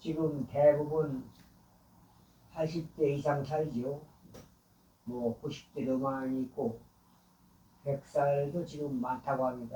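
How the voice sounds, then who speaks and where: Very slow with long, frequent pauses, a man speaks in a flat monotone, his fairly high voice somewhat breathy and dark, mellow in tone. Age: 80s+. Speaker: elderly vlogger. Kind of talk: personal monologue. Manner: halting, with filler sounds.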